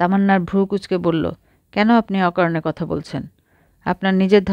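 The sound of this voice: Against a quiet background, the speaker uses an unforced reading voice with fairly even intonation.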